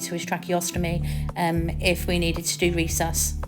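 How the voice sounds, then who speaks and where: Over music in the background, a woman speaks at a moderate pace in a fairly low voice. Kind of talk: voice-over explaining medical equipment. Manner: hesitant, stammers, frequent filler ums.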